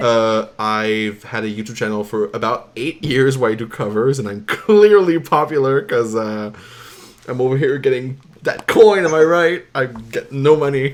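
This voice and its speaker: With a French Canadian accent and a medium pitch, a man speaks at a moderate pace with lively intonation over noticeable background noise. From Quebec. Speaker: artist and vocalist. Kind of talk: casual chat.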